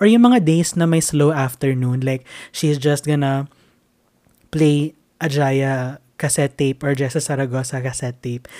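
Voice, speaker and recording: With a Filipino accent, a man talks at a moderate pace in a fairly high pitch and fairly even intonation. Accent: Filipino English, Taglish. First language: Tagalog. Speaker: podcast host. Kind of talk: casual solo talk.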